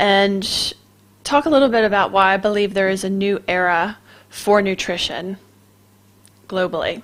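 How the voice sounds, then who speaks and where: Using a plain, everyday voice, a woman of medium pitch talks with an American accent and ordinary pitch variation. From US East Coast, Maryland. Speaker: clinical nutritionist and radio show host. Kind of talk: casual radio talk.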